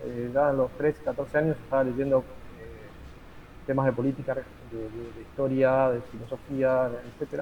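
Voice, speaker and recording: A man is speaking. His pace is moderate. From Argentina. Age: 50s. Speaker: teacher and lawyer, political activist. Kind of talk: interview. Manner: halting, many fillers.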